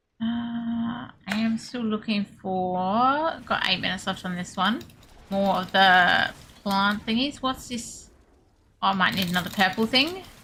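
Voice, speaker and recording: In an Australian accent and a bright, sharp tone, the speaker talks at a fairly slow pace with ordinary pitch variation and long, frequent pauses. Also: woman, medium pitch for a woman. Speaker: video game streamer. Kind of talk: live gameplay stream chat. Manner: casual, chatty.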